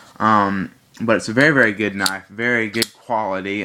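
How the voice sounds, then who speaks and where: Bright and sharp in tone, a man speaks at a fairly slow pace with fairly even intonation. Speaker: knife reviewer. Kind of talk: product review. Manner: halting, many fillers.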